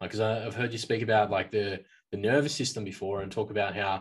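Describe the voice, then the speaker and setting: This man talks at a fairly quick pace with a fairly low pitch, a somewhat breathy quality, fairly even intonation and an Australian accent. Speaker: podcast host. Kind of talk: interview. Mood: curious, engaged. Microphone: studio mic.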